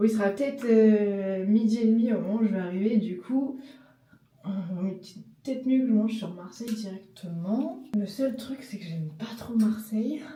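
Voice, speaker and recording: In a Parisian accent, a woman speaks at a moderate pace and fairly high pitch with ordinary variation. Audible room echo and noticeable background noise surround her. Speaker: travel vlogger. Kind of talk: casual vlog talk. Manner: hesitant, many fillers.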